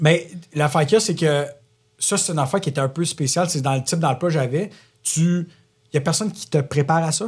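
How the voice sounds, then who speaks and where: With a fairly high pitch and ordinary pitch variation, a man talks at a very fast pace yet leaves long, frequent pauses. The background is quiet. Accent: Quebec. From Quebec. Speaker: entrepreneur. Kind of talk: podcast interview. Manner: loud.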